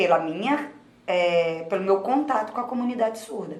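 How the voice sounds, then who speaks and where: With a Rio de Janeiro accent, a woman speaks at a medium pitch and lively intonation, with audible room echo. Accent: Rio carioca. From Rio de Janeiro, Brazil. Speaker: sign language interpreter. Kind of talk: interview. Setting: studio.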